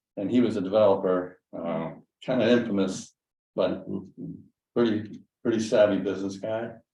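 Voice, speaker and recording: Man's fairly low voice, dark and mellow in tone, at a moderate pace with long, frequent pauses and audible room echo. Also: fairly even intonation. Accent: American. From western Massachusetts. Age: 70s. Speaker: landowner, retired dentist. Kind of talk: casual chat. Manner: halting.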